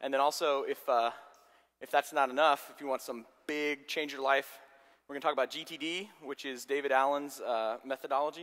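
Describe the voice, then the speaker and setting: Moving at a fairly quick pace, a man keeps his intonation fairly even. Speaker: software architect giving a conference talk. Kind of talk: lecture. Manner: fast.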